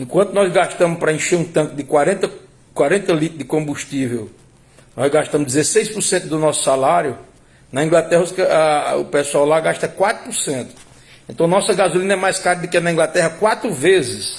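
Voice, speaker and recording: A man talks fairly quickly in a high pitch, varying it in an ordinary way. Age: 60s. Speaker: political commentator. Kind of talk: political commentary monologue. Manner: halting, with repetitions.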